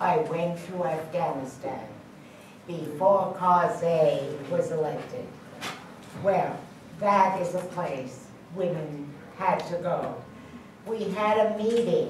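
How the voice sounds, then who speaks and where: A woman with an American accent speaks very slowly, with long, frequent pauses, a fairly low pitch and ordinary pitch variation. Audible room echo and noticeable background noise are present. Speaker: peace activist. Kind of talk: panel discussion.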